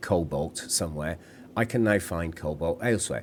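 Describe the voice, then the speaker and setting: With a British accent, a man is talking. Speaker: gaming video creator. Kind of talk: gameplay commentary.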